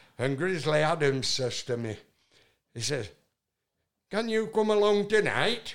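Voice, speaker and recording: A man's high voice in a Yorkshire accent, fairly slow with long, frequent pauses and very wide pitch swings. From northern England. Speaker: singer-songwriter. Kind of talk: casual interview storytelling. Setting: in-person interview. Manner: loud.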